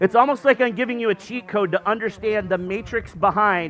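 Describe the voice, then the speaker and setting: The voice is raised and projected, bright and sharp, animated, and very fast, recorded dry and close with no echo. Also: man. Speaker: SEO conference speaker. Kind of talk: conference talk.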